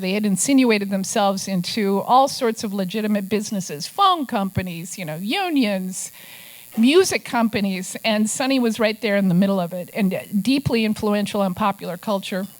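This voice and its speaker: The speaker has an Upper Midwest accent. There are hardly any pauses. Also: woman. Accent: Upper Midwest American. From Minnesota. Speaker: investigative journalist and author. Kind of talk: talk to a club audience with slides.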